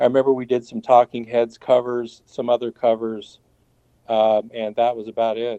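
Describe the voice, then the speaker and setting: A man in an American accent, moderate pace, monotone and flat intonation. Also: medium pitch for a man. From Portland, Oregon, US. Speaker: guitarist, band founding member. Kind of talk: interview.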